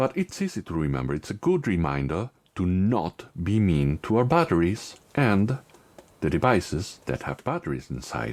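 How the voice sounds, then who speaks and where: A man with a non-native accent speaks at a moderate pace. His very deep, low voice swings very widely in pitch. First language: not English. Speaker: tech YouTuber. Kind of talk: tutorial.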